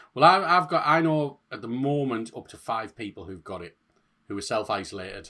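In a northeast English accent, a man talks at a fairly quick pace, his bright, sharp tone sweeping through very wide pitch swings. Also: medium pitch for a man, very clean recording, silent background. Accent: northeast English (Hartlepool). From northeast England. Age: 30s. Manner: jokey, swearing.

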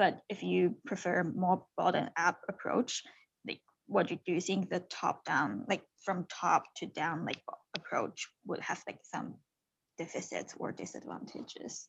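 A woman speaks at a fairly slow pace with a Chinese accent. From China. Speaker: podcast host. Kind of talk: interview.

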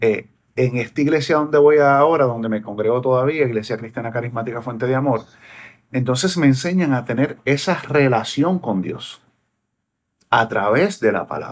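A man speaks in a Puerto Rican accent. He keeps a moderate pace with ordinary pitch variation. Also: medium pitch for a man. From Puerto Rico. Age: 40s. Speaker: singer and preacher. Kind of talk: casual interview. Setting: video call.

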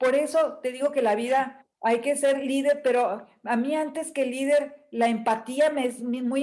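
A woman in a northern Mexican accent, high-pitched with a dark, mellow tone, fairly even intonation, and a fairly slow pace. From northern Mexico, Nuevo León. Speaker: image consultant and coach. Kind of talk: interview. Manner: firm, direct.

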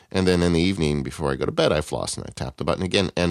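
In a very deep, low voice with vocal fry, a man speaks at a very fast pace. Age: 40s. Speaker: tech podcast co-host. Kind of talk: casual chat.

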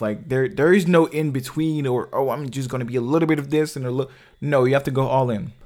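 On a very clean recording with a silent background, a man speaks at a medium pitch in an animated tone and a fairly quick pace. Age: 20s. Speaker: social commentary vlogger. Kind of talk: casual monologue. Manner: animated, repetitive filler-heavy speech.

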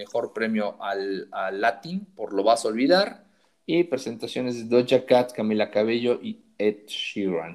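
Someone with a Mexican accent speaks at a fairly slow pace. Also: man. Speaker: podcast co-host. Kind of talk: casual chat.

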